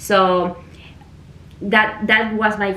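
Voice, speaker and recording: Audible room echo surrounds a woman speaking with a Spanish accent. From Venezuela. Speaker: immigration consultant, mock job candidate. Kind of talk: mock job interview.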